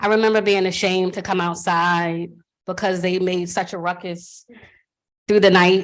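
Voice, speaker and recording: In a monotone, flat delivery, a woman speaks at a fairly low pitch. The background is quiet. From Philadelphia, later US South. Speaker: panelist, activist. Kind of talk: panel discussion, personal testimony. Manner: hesitant, many fillers.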